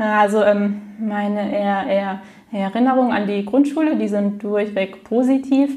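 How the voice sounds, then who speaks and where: A woman speaks at a medium pitch with ordinary pitch variation, and the recording has audible room echo and noticeable background noise. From Frankfurt, Germany. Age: 20s. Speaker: stuttering self-help group leader. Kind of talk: interview. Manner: repetitions and blocks.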